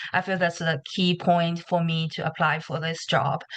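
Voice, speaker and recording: A woman with a Chinese accent at a fairly slow pace, against a quiet background. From China. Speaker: nursing applicant. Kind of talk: question in webinar. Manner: halting.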